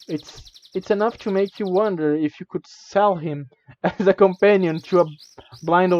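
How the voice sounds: The background stays quiet. Over it comes a natural reading voice.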